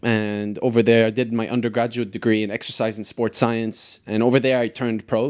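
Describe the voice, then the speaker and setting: The recording is very clean, with a silent background. A man of medium pitch talks at a fairly quick pace in a monotone, flat way. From Lebanon. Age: 30s. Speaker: soccer coach and former pro goalkeeper. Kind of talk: casual interview.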